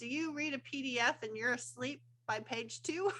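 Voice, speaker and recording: The voice is raised and projected, with ordinary pitch variation. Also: woman. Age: 60s. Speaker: unschooling coach and podcaster. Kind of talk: podcast interview. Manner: casual, filler-heavy with restarts.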